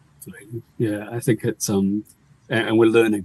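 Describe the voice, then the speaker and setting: With a New Zealand accent, a man talks at a very fast pace in a medium pitch, his dark, mellow tone captured in a dry, close sound with no echo. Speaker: webinar chair. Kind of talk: panel webinar moderation.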